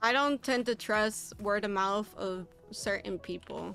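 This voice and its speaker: A woman's fairly high-pitched voice at a fairly slow pace, with fairly even intonation and music in the background. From Puerto Rico. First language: Spanish and English. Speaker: streamer. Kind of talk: casual live-stream chat.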